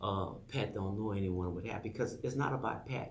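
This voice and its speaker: A man with a Louisiana accent speaks at a moderate pace, his pitch fairly low with ordinary variation. Noticeable background noise and audible room echo fill the recording. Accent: Louisiana Southern US. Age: 60s. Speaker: political candidate. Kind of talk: campaign pitch on talk show. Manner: halting, repetitive.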